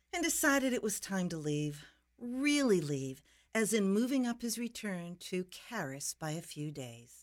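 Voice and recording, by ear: A text is read aloud in a natural voice.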